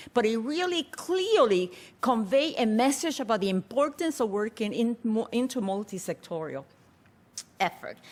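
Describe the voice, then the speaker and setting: A woman's voice sits fairly high. It swings across a very wide pitch range. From Puerto Rico. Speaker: public health researcher. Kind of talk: conference presentation. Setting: conference forum webcast. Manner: fast.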